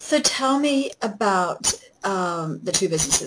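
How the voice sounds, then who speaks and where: A woman is speaking. She has a New Zealand accent. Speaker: podcast host. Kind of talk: interview.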